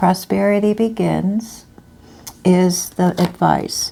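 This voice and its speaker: A woman's voice over noticeable background noise. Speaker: tarot reader. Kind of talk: tarot reading. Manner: halting.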